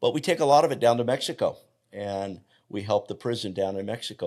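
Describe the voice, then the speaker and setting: A man in a normal speaking voice, at a fairly quick pace with ordinary pitch variation, on a very clean recording with a silent background. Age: 60s. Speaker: health coach. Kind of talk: interview conversation.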